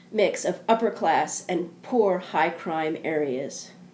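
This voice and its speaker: This woman has a medium pitch and a normal speaking voice. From US South, southeastern Kentucky. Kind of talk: scripted narration.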